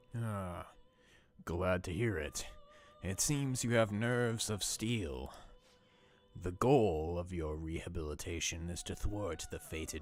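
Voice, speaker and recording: A man's put-on character voice, very deep and low in pitch, at a fairly slow pace with long, frequent pauses. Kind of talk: formal.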